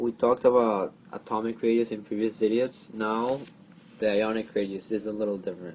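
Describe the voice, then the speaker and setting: A man with a strong non-native accent, medium pitch and fairly even intonation, at a moderate pace. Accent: thick foreign. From outside the US. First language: not English. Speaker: chemistry tutor. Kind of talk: tutorial. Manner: halting.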